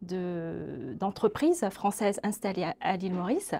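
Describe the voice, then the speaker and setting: Her intonation is lively while a woman talks at a very slow pace. Her tone is dark and mellow. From Mauritius. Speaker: social scientist, linguistics researcher. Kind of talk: webinar interview. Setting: webinar. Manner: hesitant, many fillers.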